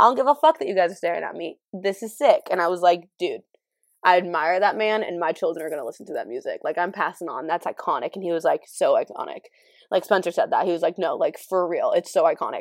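Someone talks at a very fast pace in a dry, close sound with no echo, on a very clean recording with a silent background. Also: woman. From California. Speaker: podcaster. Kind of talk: casual solo chat. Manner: fast talker; casual, candid, laughs often.

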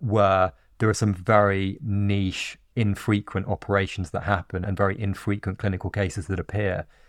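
This is an ordinary speaking voice: a man with fairly low pitch, talking at a moderate pace. His intonation is fairly even, and the recording is very clean with a silent background. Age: 30s. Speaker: former surgeon turned tech founder. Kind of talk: interview.

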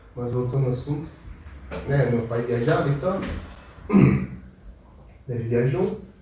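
Lively intonation at a very slow pace, with long, frequent pauses, audible room echo and noticeable background noise. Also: man, medium pitch for a man. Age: 20s. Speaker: podcast guest. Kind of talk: casual chat. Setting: live stream.

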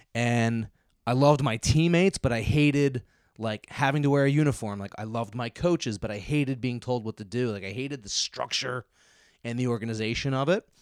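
Here a man speaks with a Philadelphia accent at a medium pitch and fairly quick pace, with ordinary pitch variation. The recording is very clean with a silent background, dry and close with no echo. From Philadelphia suburbs, US. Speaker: disc golf pro. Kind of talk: casual chat.

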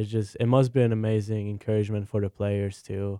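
With a Hungarian accent, a man speaks at a moderate pace in a fairly low pitch and a dark, mellow tone, recorded very cleanly against a silent background. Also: dry, close sound with no echo. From Hungary, Budapest. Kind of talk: casual sports talk show. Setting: studio.

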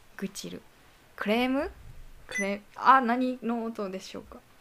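Over noticeable background noise, a woman speaks with a Kansai accent. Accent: Kansai Japanese dialect. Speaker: solo podcast host. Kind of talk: casual bilingual monologue. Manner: halting in English, self-correcting. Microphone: voice recorder app on laptop.

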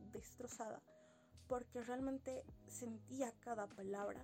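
A woman speaks with music in the background. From Bolivia, Sucre. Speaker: podcast host reviewing poetry books. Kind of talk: casual monologue, book review.

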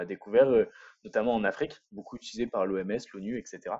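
A man rattles along very fast at a medium pitch, his pitch varying in an ordinary way. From northern France, Lille area. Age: 20s. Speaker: entrepreneur, urban spirulina farmer. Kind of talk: casual interview. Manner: hesitant, many repetitions.

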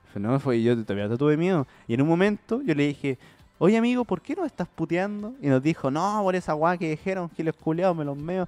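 A man with a Chilean accent talks at a fairly quick pace in a high voice, his pitch swinging very widely. The sound is dry and close with no echo. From Chile, Santiago (Puente Alto). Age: 20s. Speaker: comedy podcast host. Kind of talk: casual chat.

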